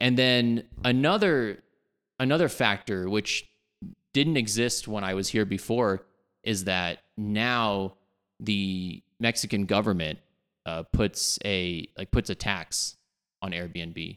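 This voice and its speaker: Music plays in the background as a man with an American accent speaks very slowly at a fairly low pitch, with ordinary pitch variation. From Texas, Dallas. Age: 30s. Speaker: software developer. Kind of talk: casual chat.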